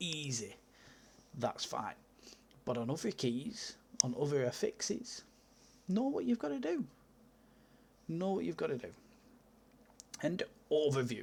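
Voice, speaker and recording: A fairly slow delivery broken by long, frequent pauses. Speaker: gaming video creator. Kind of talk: casual game review monologue.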